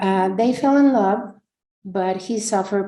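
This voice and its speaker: Dark and mellow in tone, a woman's voice sits at a medium pitch. She speaks at a fairly slow pace. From Mexico, San Miguel de Allende. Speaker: business owner. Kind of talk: prepared speech read aloud. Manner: halting.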